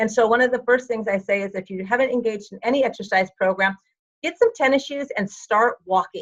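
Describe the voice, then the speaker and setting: A woman with a plain, everyday voice talks at a fairly quick pace, fairly high in pitch with ordinary pitch variation. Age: 60s. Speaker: fitness and health coach. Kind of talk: interview.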